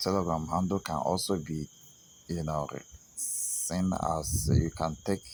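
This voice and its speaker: A man with a non-native accent speaks at a very deep, low pitch. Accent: non-native English accent, noticeable. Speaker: trading signal provider. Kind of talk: sales pitch. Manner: halting, many fillers.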